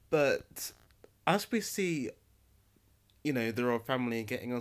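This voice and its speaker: On a very clean recording with a silent background, a man with an East Midlands accent speaks in an animated tone at a medium pitch. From England, Nottingham. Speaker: actor and podcast host. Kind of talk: solo monologue podcast. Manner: animated, frequent laughter.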